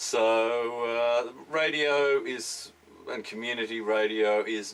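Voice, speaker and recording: A man talks with an Australian accent over noticeable background noise. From Tasmania, Australia. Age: 50s. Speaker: radio presenter and music journalist. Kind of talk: interview. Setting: radio studio.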